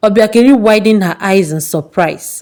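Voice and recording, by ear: A woman speaks at a moderate pace and medium pitch, with ordinary pitch variation and a slightly mellow tone.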